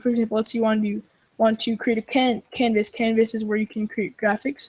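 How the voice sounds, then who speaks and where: At a fairly quick pace, a woman with a fairly high pitch speaks in a somewhat breathy voice with monotone, flat intonation, the sound dry and close with no echo. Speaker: programmer co-host. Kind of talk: coding tutorial. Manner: fast.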